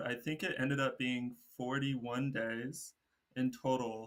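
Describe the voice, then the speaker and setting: A man with an American accent and an ordinary speaking voice talks at a medium pitch and a fairly slow pace. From Texas. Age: 20s. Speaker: solo traveler and environmental science student. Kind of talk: casual interview chat.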